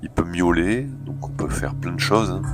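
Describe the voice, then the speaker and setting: A man's pitch swings very widely while music plays behind him. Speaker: video game reviewer. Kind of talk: gameplay commentary. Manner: casual, hesitant.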